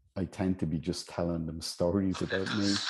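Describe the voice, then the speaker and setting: A man's very deep, low voice with a dark, mellow tone, monotone and flat, at a fairly slow pace. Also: quiet background. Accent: Irish. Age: 60s. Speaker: healer. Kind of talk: interview.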